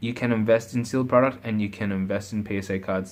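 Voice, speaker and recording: Soft-spoken and monotone, a man speaks at a fairly low pitch with flat intonation. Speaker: pokemon card collector youtuber. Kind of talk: casual chat.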